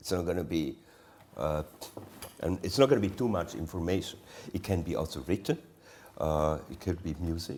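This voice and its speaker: A man's very deep, low voice at a moderate pace, with ordinary pitch variation and long, frequent pauses. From Switzerland, Engadine valley. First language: Romansh. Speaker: artist. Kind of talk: onstage artist conversation. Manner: halting.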